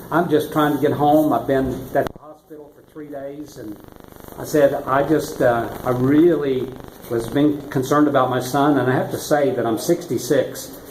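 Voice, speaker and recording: With an American accent, a man speaks at a fairly high pitch with fairly even intonation and big swings in loudness. Audible room echo and noticeable background noise fill the recording. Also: moderate pace. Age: 60s. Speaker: retired-age driver fined in traffic court. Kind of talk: interview. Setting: courthouse. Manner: halting.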